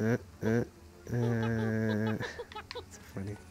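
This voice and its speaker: Music plays in the background. A man talks with a fairly low pitch. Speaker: gamer. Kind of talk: let's play commentary. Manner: casual.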